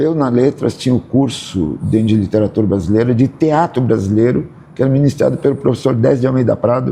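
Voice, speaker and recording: A man's voice, medium in pitch, with a dark, mellow tone. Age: 70s. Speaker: actor and theatre director. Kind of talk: interview. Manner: halting.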